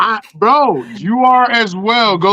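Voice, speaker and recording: A loud man speaks with a bright, sharp tone and ordinary pitch variation. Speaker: podcast host guest. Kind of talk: heated debate.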